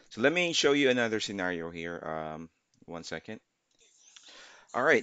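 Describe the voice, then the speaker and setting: Very wide pitch swings in a man's bright, sharp tone. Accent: non-native. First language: not English. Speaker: gaming YouTuber. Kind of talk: gameplay tutorial. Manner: halting, many fillers.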